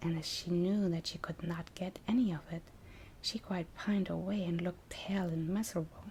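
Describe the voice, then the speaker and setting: The speaker is soft-spoken, with a non-native accent. The pace is moderate. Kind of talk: fairy tale reading.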